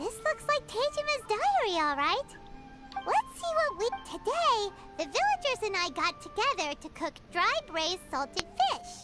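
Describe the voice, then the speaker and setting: An extremely high, squeaky put-on character voice swings very widely in pitch at a moderate pace. Loud music plays in the background. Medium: video game. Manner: curious.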